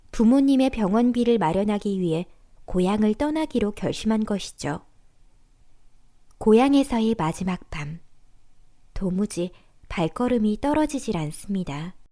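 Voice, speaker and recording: A voice with a dark, mellow tone and lively intonation moves at a fairly slow pace with long, frequent pauses. The recording is very clean, with a silent background. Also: woman, fairly high pitch for a woman. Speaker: voice actor. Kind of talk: documentary narration.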